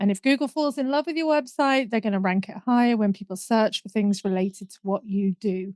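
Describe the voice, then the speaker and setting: A woman with a northern English accent speaks at a fairly quick pace and a fairly high pitch, her loudness swinging widely and her pitch varying in an ordinary way, in a dry, close recording with no echo. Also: hardly any pauses. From northern England. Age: middle-aged. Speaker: business mentor and marketing coach. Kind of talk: podcast interview.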